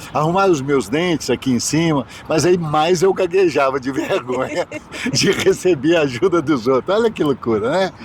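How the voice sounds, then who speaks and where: Noticeable background noise sits behind this recording. A man speaks with lively intonation at a moderate pace. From Minas Gerais, Brazil. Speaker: bishop. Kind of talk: interview, life story. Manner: halting.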